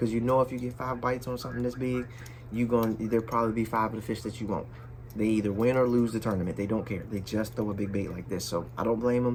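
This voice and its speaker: A man speaks very fast in a monotone, flat delivery. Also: medium pitch for a man. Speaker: fishing youtuber. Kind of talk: casual talk to camera. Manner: loud.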